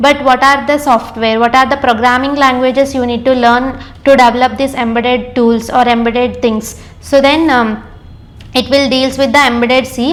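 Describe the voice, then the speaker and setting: Amid noticeable background noise and audible room echo, a woman with an Indian accent speaks at a moderate pace in a high, monotone, flat voice. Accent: Indian English, Telugu. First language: Telugu. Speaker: engineer and course trainer. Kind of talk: lecture. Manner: hesitant, many fillers.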